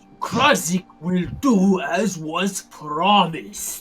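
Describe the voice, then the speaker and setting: Faint music plays behind a female-sounding, put-on character voice of medium pitch for a woman, delivered at a very slow pace. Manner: ominous.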